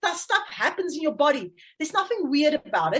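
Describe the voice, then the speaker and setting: A woman with a high-pitched voice speaks in a South African accent. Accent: Afrikaans South African English. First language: Afrikaans. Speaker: parenting coach. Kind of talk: interview. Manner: halting.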